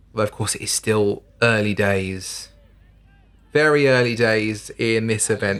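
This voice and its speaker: This man has an unremarkable speaking voice and delivers his words at a moderate pace. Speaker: sports commentator. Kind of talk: live modern pentathlon commentary. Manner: steady, informative, upbeat.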